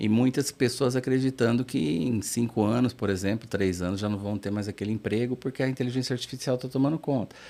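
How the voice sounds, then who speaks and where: A man's dark, mellow tone at medium pitch, fairly quick pace, ordinary pitch variation and hardly any pauses. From interior of São Paulo state, Brazil. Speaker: therapist / mind professional. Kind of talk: interview. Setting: studio.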